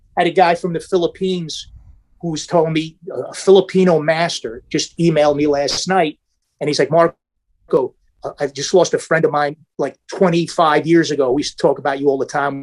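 With an American accent, a man speaks at a fairly quick pace and a fairly high pitch, his intonation fairly even, in an unremarkable speaking voice recorded with a dry, close sound with no echo. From New York area. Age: 50s. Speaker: martial artist. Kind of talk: casual chat.

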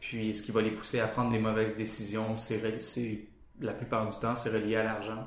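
Moderately paced speech comes in a flat monotone, with audible room echo. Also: man, fairly low pitch for a man. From Quebec, Sherbrooke. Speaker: motion designer. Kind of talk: casual interview. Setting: studio office.

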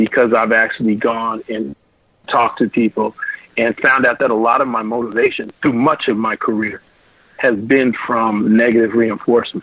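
In a normal speaking voice, a man talks at a moderate pace with medium pitch. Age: 50s. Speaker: audio engineer and studio designer. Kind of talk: interview, casual chat.

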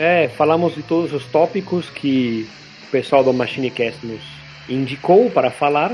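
A man's fairly high voice with lively intonation at a fairly slow pace, music in the background. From Argentina, Buenos Aires. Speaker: podcast host. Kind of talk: casual chat. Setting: remote recording.

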